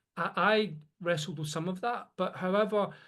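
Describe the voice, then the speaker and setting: A man with a Glasgow accent speaks in a high voice with ordinary pitch variation. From Scotland, Glasgow. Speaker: podcast co-host. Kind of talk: casual conversation. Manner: halting, repeats words.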